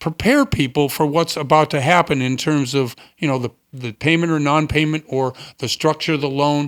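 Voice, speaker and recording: A man's unremarkable speaking voice with an American accent, fairly high in pitch and fairly even in intonation, at a moderate pace, in a dry, close sound with no echo on a very clean recording with a silent background. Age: 60s. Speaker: radio host. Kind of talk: interview.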